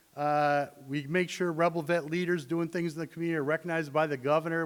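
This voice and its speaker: A man with a normal speaking voice talks at a fairly quick pace. His pitch is fairly high. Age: 60s. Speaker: army veteran and student veterans program advisor. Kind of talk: conference presentation.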